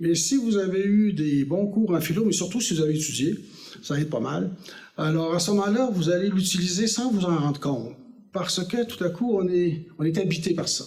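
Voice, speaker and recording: In a Quebec accent, a man speaks at a high pitch with ordinary pitch variation, and the room echo is audible. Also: moderate pace. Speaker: former politician. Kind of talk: lecture. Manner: hesitant, with fillers.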